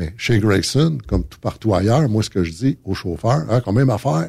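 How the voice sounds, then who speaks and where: A man speaks at a moderate pace in a fairly low pitch. His tone is dark and mellow, and somewhat breathy. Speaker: trucking company manager. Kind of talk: casual chat. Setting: studio.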